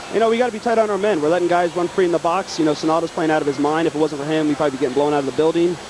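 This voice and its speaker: A man talks at a very fast pace with hardly any pauses, keeping his loudness very even. His pitch varies in an ordinary way over noticeable background noise. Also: fairly high pitch for a man. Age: young. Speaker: professional indoor soccer player. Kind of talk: halftime sideline interview.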